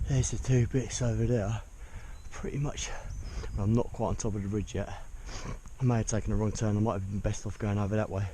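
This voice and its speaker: A man with a fairly low pitch speaks at a very fast pace, somewhat breathy and dark, mellow in tone, with fairly even intonation, long, frequent pauses and audible room echo. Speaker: hiking vlogger. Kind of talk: solo vlog narration outdoors. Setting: outdoors on a mountain. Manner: monotone.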